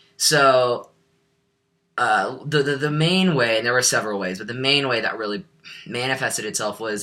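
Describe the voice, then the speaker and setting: A man with an American accent speaks at a medium pitch in a bright, sharp tone. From US Midwest. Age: 20s. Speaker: vlogger. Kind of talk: casual vlog monologue. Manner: halting, many fillers.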